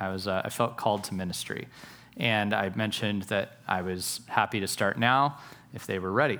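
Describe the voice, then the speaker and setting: With music in the background, a man speaks at a moderate pace and a fairly low pitch, showing ordinary pitch variation. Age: 40s. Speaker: pastor. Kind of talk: sermon.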